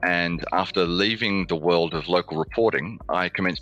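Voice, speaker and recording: Speaking in an Australian accent, a man has a very deep, low voice. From Australia (Melbourne). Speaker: communications lead at an engineering firm. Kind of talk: interview conversation.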